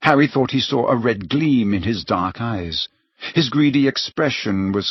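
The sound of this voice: An unforced reading voice is heard. The background stays quiet.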